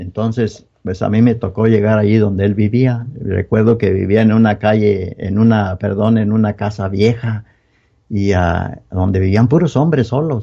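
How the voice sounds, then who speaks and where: The man's voice is fairly low, with a dark, mellow tone. He talks fairly slowly with fairly even intonation. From Mexico, Guanajuato (Moroleón). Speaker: church member giving testimony. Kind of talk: testimony. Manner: halting.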